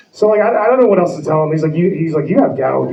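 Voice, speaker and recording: With an American accent, a man talks at a fairly high pitch with ordinary pitch variation, amid noticeable background noise and audible room echo. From New Jersey. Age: 40s. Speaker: comedian. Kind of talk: stand-up. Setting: stage with audience.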